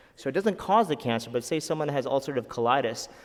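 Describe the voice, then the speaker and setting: Male speech delivered at a very fast pace, its pitch varying in an ordinary way. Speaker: physician. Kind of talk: lecture.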